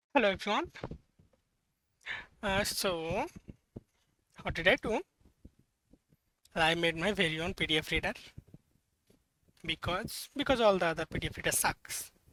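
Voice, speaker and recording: A man with a non-native accent, high pitch and a bright, sharp tone, lively intonation at a moderate pace, long and frequent pauses, in a dry, close sound with no echo. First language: not English. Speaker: hobbyist programmer. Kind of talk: casual software demo. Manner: halting, many fillers and self-corrections.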